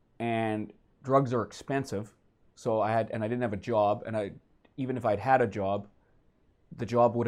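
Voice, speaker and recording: A man speaks with a western Canadian accent at a fairly quick pace. His pitch is medium and his intonation fairly even. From Vancouver, western Canada. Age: 40s. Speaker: comedian. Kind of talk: interview.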